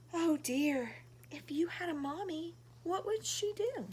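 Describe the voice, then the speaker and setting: In a put-on character voice, a woman speaks with an extremely high pitch in a gentle tone. She goes at a fairly slow pace over clear background noise. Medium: read story. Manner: gentle, kind.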